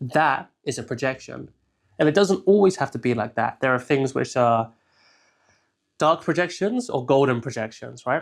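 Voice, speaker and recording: With an English accent and a medium pitch, a man speaks with long, frequent pauses in a very clean recording with a silent background. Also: ordinary pitch variation, moderate pace. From southern England. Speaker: shadow work consultant. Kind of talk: tutorial. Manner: casual, filler-heavy.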